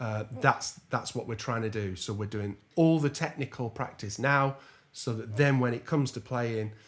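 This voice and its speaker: With an English accent, a man speaks at a moderate pace and ordinary pitch variation. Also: medium pitch for a man. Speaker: jazz trombonist and music teacher. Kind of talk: tutorial.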